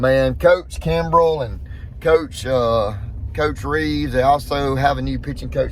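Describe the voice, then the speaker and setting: Noticeable background noise and audible room echo accompany a man speaking with a Southern US accent. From US South. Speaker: vlogger and bow technician. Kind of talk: casual vlog. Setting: in a car. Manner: halting, repetitive.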